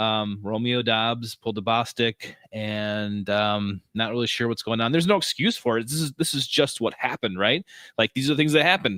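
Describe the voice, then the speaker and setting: With a Wisconsin accent, a man speaks at a moderate pace and medium pitch, his tone bright and sharp, with hardly any pauses. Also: ordinary pitch variation, dry, close sound with no echo, very clean recording, silent background. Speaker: sports podcast co-host. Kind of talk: casual chat. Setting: live-streamed podcast.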